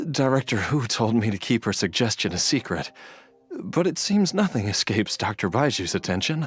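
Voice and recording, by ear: A man uses a put-on character voice with a slightly husky edge and big pitch swings. He talks at a fairly slow pace with long, frequent pauses.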